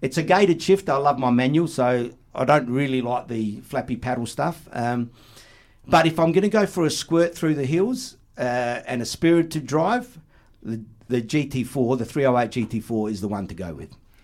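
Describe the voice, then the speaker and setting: A man with an Australian accent at medium pitch, on a very clean recording with a silent background. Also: lively intonation, moderate pace. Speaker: podcaster and car enthusiast. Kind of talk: casual chat. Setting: studio.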